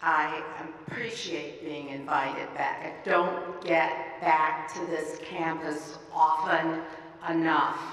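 A woman speaks at a very slow pace in a very deep, low pitch, her intonation monotone and flat. Audible room echo is present. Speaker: county commissioner. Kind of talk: formal speech. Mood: warm, smiling. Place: hall. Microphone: podium.

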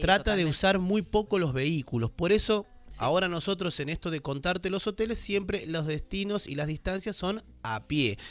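A man at a moderate pace, recorded with a dry sound and no echo. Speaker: travel show host. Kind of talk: commentary. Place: studio. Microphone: studio mic.

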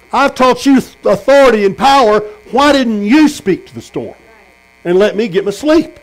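A man speaks with a Texan accent at an extremely high pitch. His loudness swings a lot. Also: ordinary pitch variation, moderate pace. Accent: Texan Southern US. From Texas. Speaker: pastor. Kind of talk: sermon. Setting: tent meeting with congregation. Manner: animated. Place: tent. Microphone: camera far.

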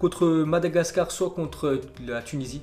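The voice carries ordinary pitch variation against light background noise. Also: man. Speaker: football news youtuber. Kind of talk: commentary. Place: home room.

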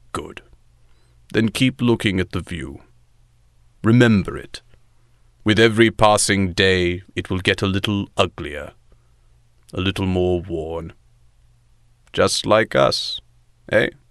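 A man speaks with a fairly low pitch at a fairly slow pace. Long, frequent pauses break up his speech. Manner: dry, self-aware sarcasm, weary authority; harsh but resigned.

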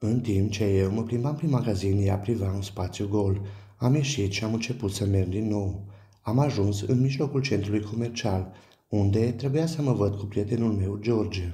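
Somewhat breathy and dark, mellow in tone, this man's fairly low voice moves at a moderate pace with ordinary pitch variation. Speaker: storyteller. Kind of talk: horror story narration, first-person. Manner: tense, hushed, suspenseful storytelling.

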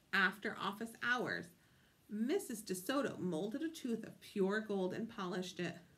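The reading is done in an unforced reading voice.

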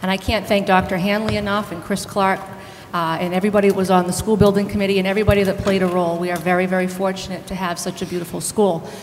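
Light background noise sits under a woman talking at a very fast pace. Her medium-pitched voice stays monotone and flat. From Southbridge, Massachusetts; Massachusetts. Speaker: school committee candidate; candidate. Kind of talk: candidate debate. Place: hall. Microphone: podium.

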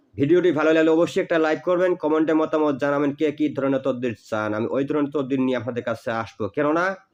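The man has an ordinary speaking voice pitched fairly high. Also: ordinary pitch variation. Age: 40s. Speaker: folk healer and tantric teacher. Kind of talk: religious instruction video monologue.

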